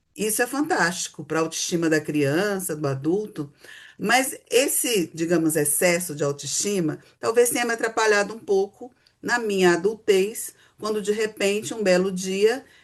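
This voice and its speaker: An ordinary speaking voice, this woman talks at a moderate pace in a medium pitch with lively intonation. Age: 60s. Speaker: psychotherapist. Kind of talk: casual chat.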